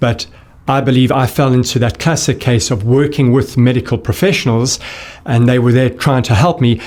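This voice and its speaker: Talking at a fairly quick pace, a man has a South African accent. His pitch is medium, with ordinary pitch variation. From South Africa, Johannesburg. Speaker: gut health expert. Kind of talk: interview conversation.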